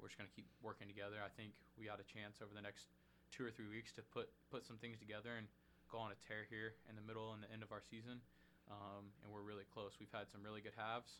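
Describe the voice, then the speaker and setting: A man with a Midwestern American accent speaks at a very fast pace and a fairly low pitch. His intonation is monotone and flat, with a bright, sharp tone. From Indianapolis, Indiana (south side). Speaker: college basketball player. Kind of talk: casual interview.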